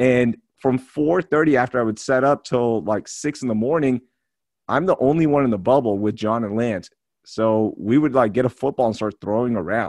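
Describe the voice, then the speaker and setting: At a moderate pace, a man with medium pitch talks in a dry, close sound with no echo. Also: ordinary pitch variation, quiet background. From Houston area, Texas (born in Pakistan). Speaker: podcast host. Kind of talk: casual chat. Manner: animated.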